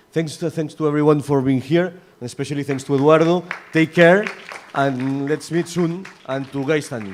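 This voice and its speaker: Crowd noise behind a man at a fairly high pitch, with fairly even intonation and a moderate pace. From Catalonia, Spain. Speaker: session chair at academic congress. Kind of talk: closing remarks at conference panel. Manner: halting, many fillers and repetitions.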